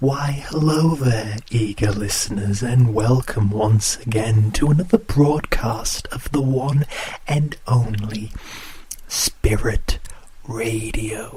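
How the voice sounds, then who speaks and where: A put-on character voice goes at a very slow pace against light background noise. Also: man, medium pitch for a man. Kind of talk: horror radio show hosting. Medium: audio drama.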